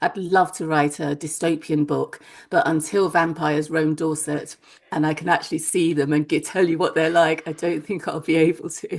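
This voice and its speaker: The voice moves at a moderate pace in a monotone, flat intonation. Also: woman, very deep, low pitch for a woman. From Nigeria, Lagos. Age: 60s. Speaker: novelist. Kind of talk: interview.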